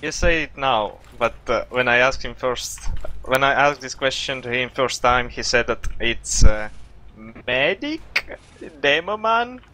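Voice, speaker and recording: A man with a non-native accent at a fairly slow pace, his loudness swinging widely. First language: not English. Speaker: esports player and coach. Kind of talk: coaching session. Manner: halting, many fillers.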